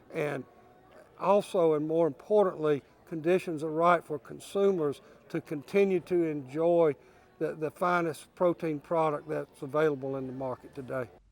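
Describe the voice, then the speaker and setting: A man speaks at a moderate pace in an unremarkable speaking voice. His pitch is fairly high, his intonation fairly even. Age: 60s. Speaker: cattle industry leader. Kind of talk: news interview.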